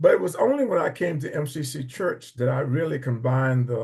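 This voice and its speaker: A man with a somewhat breathy, medium-pitched voice speaks at a moderate pace. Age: 80s+. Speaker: church member. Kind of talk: testimony. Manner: halting.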